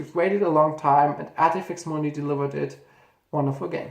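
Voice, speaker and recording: Someone with a German accent talks at a very fast pace. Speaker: gaming YouTuber. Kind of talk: casual video commentary, ranking games. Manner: halting, with self-corrections.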